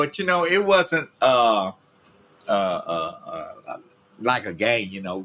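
A man's very slow speech with long, frequent pauses and big swings in loudness over noticeable background noise. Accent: Memphis. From Memphis, Tennessee. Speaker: podcast host, grandfather. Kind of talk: casual chat. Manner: soft-spoken.

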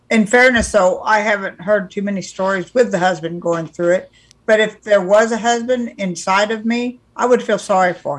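An ordinary speaking voice with an American accent, at a moderate pace with ordinary pitch variation. There are hardly any pauses. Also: woman, medium pitch for a woman. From California. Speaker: podcast co-host. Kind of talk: casual chat.

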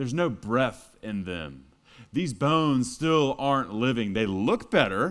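A man of medium pitch with an American accent, fairly slow pace and lively intonation. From Texas. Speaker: pastor. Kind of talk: sermon. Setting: church.

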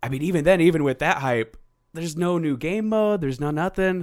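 A man's fairly high, very fast, playful voice with very wide pitch swings. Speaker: podcast host. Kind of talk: casual banter podcast chat. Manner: joking, playful.

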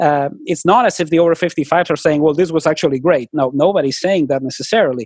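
Very fast speech in a non-native accent with ordinary pitch variation over a quiet background. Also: man, dry, close sound with no echo. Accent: noticeable foreign. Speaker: public opinion researcher. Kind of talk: podcast interview.

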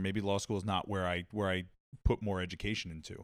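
With a Long Island accent, a man rattles along at a very fast pace in a fairly low voice. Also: very clean recording, silent background. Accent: New York (Long Island). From Long Island, New York. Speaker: podcast guest, media professional. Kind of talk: casual chat.

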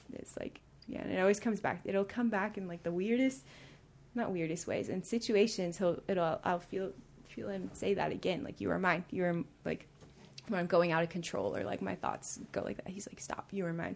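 A woman's medium-pitched voice with vocal fry, ordinary pitch variation, and a moderate pace. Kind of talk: testimony. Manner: halting.

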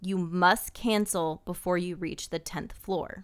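At a moderate pace, a woman uses a normal speaking voice, fairly low in pitch with fairly even intonation, on a very clean recording with a silent background. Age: 30s. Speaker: true crime podcast co-host. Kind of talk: storytelling.

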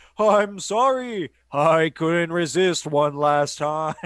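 In a put-on character voice pitched high, a man talks at a very slow pace.

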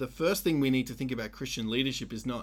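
A man speaks at a medium pitch with an Australian accent. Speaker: pastor and podcast co-host. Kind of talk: casual podcast discussion. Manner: loud; animated.

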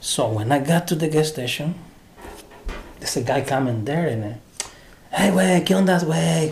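There is noticeable background noise as a man speaks at a fairly high pitch with lively intonation. He leaves long, frequent pauses. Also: moderate pace. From Honduras. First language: Spanish. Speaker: translator. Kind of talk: casual interview, personal storytelling.

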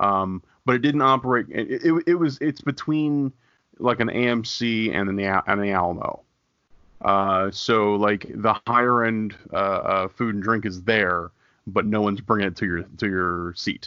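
This man has a normal speaking voice, fairly low in pitch. He speaks at a fairly slow pace with ordinary pitch variation. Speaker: podcast co-host. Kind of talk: radio dj patter.

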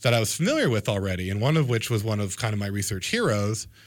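On a very clean recording with a silent background, a man with an American accent speaks at a very fast pace, medium in pitch with ordinary pitch variation. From Florida coast, US. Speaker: anatomy professor. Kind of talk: radio interview.

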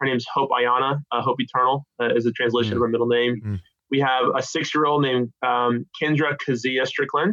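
Using an ordinary speaking voice, a man with an American accent talks at a medium pitch and a fairly quick pace, with fairly even intonation. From California. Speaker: theology professor. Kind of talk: interview.

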